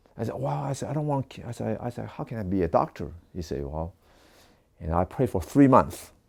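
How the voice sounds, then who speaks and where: Speaking with a Taiwanese accent at a fairly quick pace, a man has a very deep, low pitch, vocal fry, very wide pitch swings and big swings in loudness. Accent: Taiwanese Mandarin-accented English. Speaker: doctor of Chinese medicine. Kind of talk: testimony.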